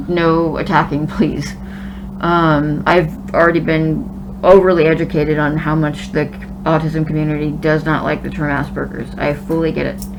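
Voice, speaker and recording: Noticeable noise and audible echo from the room fill the recording. The woman in it speaks at a moderate speed. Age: 30s. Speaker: vlogger documenting gender transition. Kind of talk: casual vlog talk.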